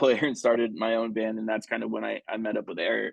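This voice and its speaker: A man speaks with an American accent. His pitch sits fairly low. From South Texas. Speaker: rock band singer. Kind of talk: interview. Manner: halting.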